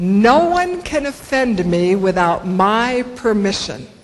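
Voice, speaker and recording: Fairly high-pitched, a woman with an American accent comes through audible room echo and noticeable background noise. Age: 60s. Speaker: motivational speaker. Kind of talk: conference talk.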